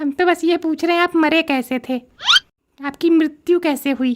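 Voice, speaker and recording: This man uses a cartoonish character voice. His pitch is extremely high for a man. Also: moderate pace. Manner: inquisitive, chatty.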